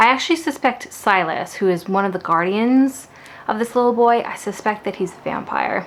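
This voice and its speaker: Over noticeable background noise, a woman speaks at a fairly high pitch. Her intonation is lively, with big swings in loudness. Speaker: book vlogger. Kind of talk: casual vlog talk. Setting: at home. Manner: fast; animated.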